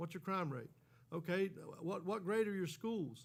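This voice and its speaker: The man has an American accent and a high pitch. He talks at a fairly quick pace with ordinary pitch variation. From Florida, Hendry County. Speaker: resident speaking at public meeting. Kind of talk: public comment. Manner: impassioned.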